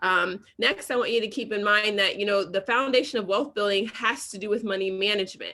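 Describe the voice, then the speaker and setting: At a fairly quick pace, a woman with a medium pitch and an American accent speaks in a bright, sharp tone with fairly even intonation. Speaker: financial educator. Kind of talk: presentation. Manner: fast.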